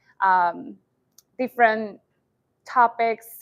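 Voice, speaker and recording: Fairly high in pitch, a woman speaks with a Spanish accent. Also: quiet background. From Colombia. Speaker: entrepreneur and educator. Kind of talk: startup pitch presentation.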